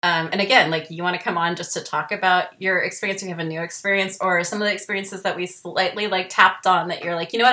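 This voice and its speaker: Over noticeable background noise, a woman at a medium pitch rushes along at a very fast pace in a monotone, flat intonation with hardly any pauses. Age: 40s. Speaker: podcast host. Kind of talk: casual chat; show outro. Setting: video call.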